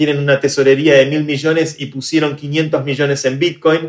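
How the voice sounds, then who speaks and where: This man talks at a moderate pace in a fairly high voice. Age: 30s. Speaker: tech entrepreneur and activist. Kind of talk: interview conversation.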